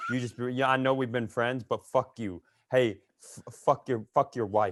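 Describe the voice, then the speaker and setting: An animated man with an American accent. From Minnesota. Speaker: comedian. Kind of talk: casual chat.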